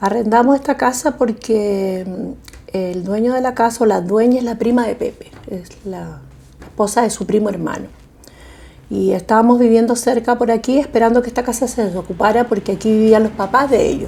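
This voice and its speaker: A woman talks in a plain, everyday voice, pitched fairly high. She keeps a moderate pace. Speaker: homeowner in documentary. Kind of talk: documentary interview.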